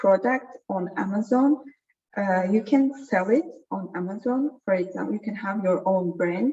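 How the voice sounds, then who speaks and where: A woman with an Azerbaijani accent speaks at a medium pitch and a fairly slow pace with lively intonation. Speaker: data science trainer. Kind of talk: online workshop lecture. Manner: halting, many fillers.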